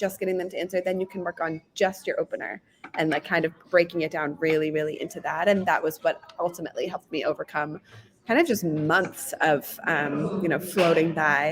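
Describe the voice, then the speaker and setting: Against noticeable background noise, a woman speaks in an energetic tone at a fairly quick pace. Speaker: sales guest. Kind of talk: casual chat. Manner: fast.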